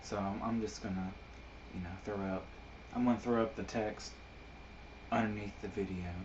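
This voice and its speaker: A man speaks at fairly low pitch and a moderate pace, with fairly even intonation and long, frequent pauses. The room echo is audible and background noise is noticeable. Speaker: amateur poet and video blogger. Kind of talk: casual monologue. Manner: halting, many fillers.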